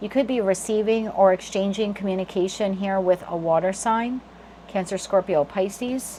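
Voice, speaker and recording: This woman talks at a moderate pace, her medium pitch moving with ordinary variation. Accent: New Jersey. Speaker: tarot reader. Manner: flaps T to D in "water".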